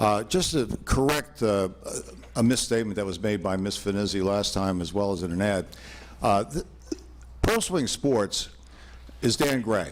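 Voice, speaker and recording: Lively intonation marks this man's fairly low-pitched voice. He moves at a moderate pace, broken by long, frequent pauses. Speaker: attorney. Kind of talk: public comment presentation. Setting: town board meeting hall with PA.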